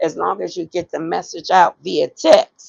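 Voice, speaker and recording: Vocal fry runs through this woman's voice. She speaks at a moderate pace. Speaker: online business coach. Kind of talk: live stream tutorial.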